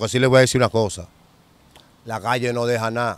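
A man with a medium-pitched voice speaks in fairly even intonation, and the sound is dry with no echo. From Dominican Republic, Santo Domingo; Dominican Republic. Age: 40s. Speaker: former street criminal; interviewee. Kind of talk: interview, street life testimony. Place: open country. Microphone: handheld.

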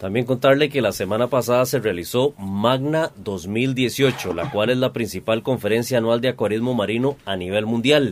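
Over light background noise, a man talks at a moderate pace with ordinary pitch variation and hardly any pauses. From Costa Rica. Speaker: radio host. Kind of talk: radio talk show. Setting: radio studio. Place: studio.

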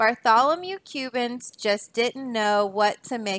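The clip carries an unforced reading voice.

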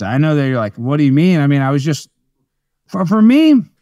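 A man with an American accent, fairly high-pitched, with lively intonation over a quiet background. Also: dry sound with no echo. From Texas. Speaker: comedian and political show host; comedian, political show host. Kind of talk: casual interview chat. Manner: animated. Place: home room. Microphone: video call.

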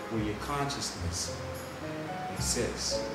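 Loud music plays in the background while a man speaks at a very slow pace, with audible room echo. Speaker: nonprofit co-founder. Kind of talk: improvised spoken-word poetry. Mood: reflective, gently smiling. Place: office. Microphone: camera far.

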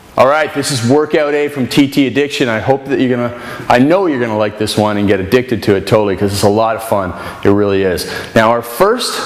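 A man speaks at a very fast pace with ordinary pitch variation. Audible room echo fills the recording. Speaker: fitness trainer. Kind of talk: tutorial. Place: gym. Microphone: camera far.

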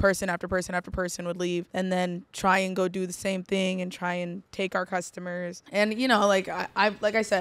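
A woman at a moderate pace, monotone with flat intonation and hardly any pauses. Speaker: interview guest. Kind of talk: interview answer. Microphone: studio mic.

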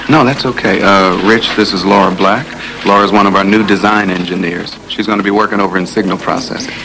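A man's voice at a fairly quick pace, with fairly even intonation and noticeable background noise. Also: fairly low pitch for a man. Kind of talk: scripted film dialogue. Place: office.

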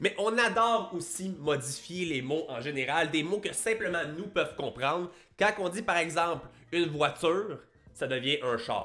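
In a Quebec accent, a man with a high, bright, sharp voice speaks at a fairly slow pace with lively intonation. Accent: Québécois. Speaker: YouTuber and fitness coach; fitness youtuber. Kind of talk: casual vlog monologue. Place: home room. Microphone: studio mic.

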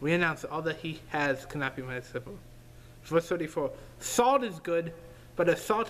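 A man with a high pitch speaks at a fairly slow pace. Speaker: preacher. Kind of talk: sermon. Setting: online video. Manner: earnest, fervent preaching. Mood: calm, earnest. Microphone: webcam.

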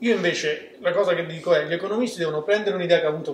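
A man speaks in a high pitch. Room echo is audible. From Rome, Italy. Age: 20s. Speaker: startup co-founder. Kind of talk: interview. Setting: studio. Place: studio. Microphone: camera far.

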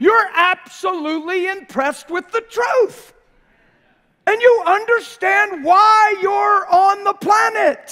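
A man's extremely high, bright and sharp voice, raised and projected, at a very slow pace with ordinary pitch variation and a quiet background. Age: 50s. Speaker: preacher. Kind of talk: sermon. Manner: animated. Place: church.

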